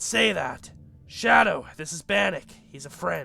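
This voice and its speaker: In a raspy, put-on character voice, the speaker projects loudly at a fairly slow pace. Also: man. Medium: game stream. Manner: calm, practical.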